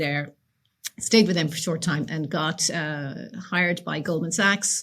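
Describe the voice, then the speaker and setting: With an Irish accent, a woman talks at a moderate pace, using ordinary pitch variation. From Ireland, County Leitrim. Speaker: realtor. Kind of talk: interview.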